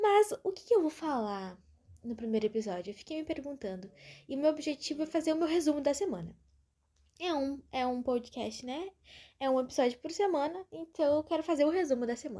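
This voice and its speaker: A woman's high-pitched voice carries a dark, mellow tone. Her pitch swings very widely, and her pace is fairly quick. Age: 20s. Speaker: podcaster. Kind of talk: casual monologue. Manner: informal, chatty.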